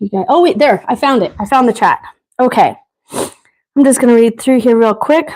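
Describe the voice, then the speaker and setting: A loud woman with a high pitch, lively intonation and a moderate pace. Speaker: quilting instructor. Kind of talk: live tutorial. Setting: livestream. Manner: casual, chatty.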